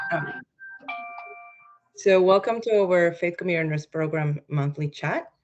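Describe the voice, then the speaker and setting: At a moderate pace and with ordinary pitch variation, the voice comes over music in the background. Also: woman. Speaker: faith community nurse.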